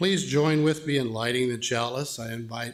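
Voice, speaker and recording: The speaker talks at a moderate pace with ordinary pitch variation. Audible room echo surrounds the voice. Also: man. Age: 70s. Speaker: lay worship leader. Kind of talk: sermon. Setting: church.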